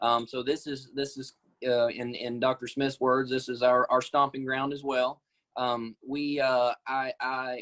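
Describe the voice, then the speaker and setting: A man with an Arkansas accent talks at a fairly slow pace, medium in pitch and monotone, flat in intonation. The sound is dry and close, with no echo. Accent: US Southern (Arkansas). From Arkansas, Batesville area. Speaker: nurse practitioner. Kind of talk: interview. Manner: halting.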